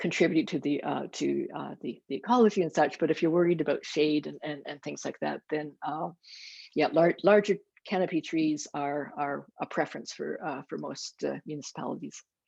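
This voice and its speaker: With a Canadian accent, a woman speaks at a moderate pace. The background is quiet. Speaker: professor of landscape architecture. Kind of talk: Q&A answer after lecture. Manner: halting with many repetitions.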